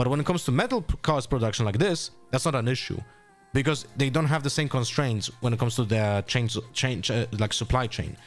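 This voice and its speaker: Music plays behind a man speaking with a non-native accent. His medium-pitched voice has lively intonation and an animated tone. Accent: non-native accent, noticeable. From Poland. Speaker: streamer. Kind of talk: live stream commentary. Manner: animated, casual with frequent fillers.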